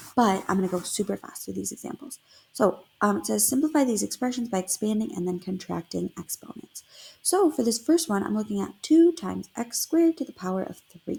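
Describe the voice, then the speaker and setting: Her fairly high, somewhat breathy voice has a dark, mellow tone, very wide pitch swings, and big swings in loudness as the woman speaks at a fairly quick pace. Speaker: math teacher. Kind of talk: tutorial. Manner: fast.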